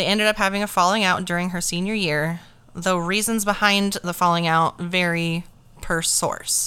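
A woman's medium-pitched voice with a bright, sharp tone, monotone, flat intonation, and a moderate pace. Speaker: true crime podcast host. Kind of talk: true-crime narration. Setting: podcast recording with mics. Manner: grim, steady storytelling delivery; casual, profane, laughs often in banter.

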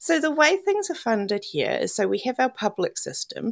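Speaking fairly slowly, a woman talks in a New Zealand accent. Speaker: cancer survivor. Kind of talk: casual interview, personal story.

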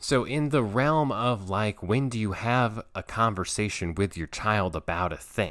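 A man with a normal speaking voice and a fairly low pitch talks at a fairly slow pace with lively intonation and hardly any pauses. The recording is very clean, with a silent background. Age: 30s. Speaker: podcast host and play therapist. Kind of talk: solo podcast monologue.

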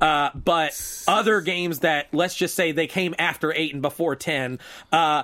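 In a very clean recording with a silent background, a man with a normal speaking voice talks at a moderate pace, his fairly high pitch showing ordinary variation. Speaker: gaming shop co-owner. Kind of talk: casual chat.

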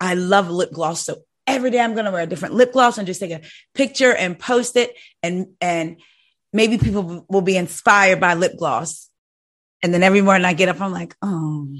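Against a quiet background, a woman talks fairly quickly in a medium pitch with ordinary pitch variation. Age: 40s. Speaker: podcast host. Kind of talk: casual chat. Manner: animated.

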